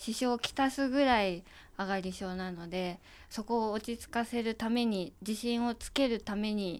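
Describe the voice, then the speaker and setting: In a normal speaking voice at a fairly slow pace, the speaker shows ordinary pitch variation on a very clean recording with a silent background. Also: woman. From Japan, Kanagawa. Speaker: photographer's assistant. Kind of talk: interview.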